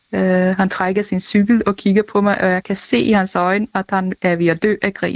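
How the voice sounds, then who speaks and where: A normal speaking voice moves at a moderate pace with very even loudness, fairly even intonation and hardly any pauses. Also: woman, medium pitch for a woman. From Denmark, Næstved. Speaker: listener. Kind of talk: testimony.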